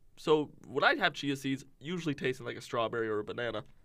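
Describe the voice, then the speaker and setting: With a slight Canadian accent, a man speaks at a very fast pace. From Windsor, Ontario, Canada. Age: 20s. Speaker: college student podcaster. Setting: studio.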